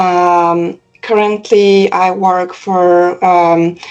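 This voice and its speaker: With a Polish accent, a woman speaks at a medium pitch in a monotone, flat intonation. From Poland. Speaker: cybersecurity professional. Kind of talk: interview testimonial. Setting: call. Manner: halting, many fillers.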